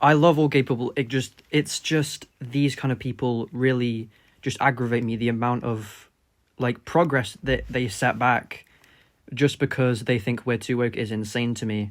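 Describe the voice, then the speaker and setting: A man with an English accent at a medium pitch and a moderate pace. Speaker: political commentary YouTuber. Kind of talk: reaction commentary. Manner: unscripted, halting with fillers. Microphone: cheap microphone.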